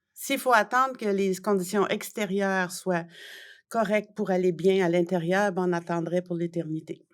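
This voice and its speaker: Medium in pitch with fairly even intonation, a woman talks at a moderate pace on a very clean recording with a silent background. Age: 60s. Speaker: journalist and author. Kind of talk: interview. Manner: hesitant, many fillers.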